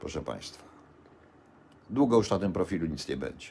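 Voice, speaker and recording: A man talks with vocal fry. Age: 60s. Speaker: vlogger. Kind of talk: live-stream rant. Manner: halting.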